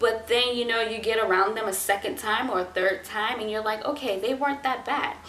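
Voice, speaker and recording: A woman's fairly high voice with an American accent, audible room echo and noticeable background noise. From US South. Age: 20s. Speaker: vlogger. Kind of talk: casual advice talk to camera. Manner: laid-back, not very energetic.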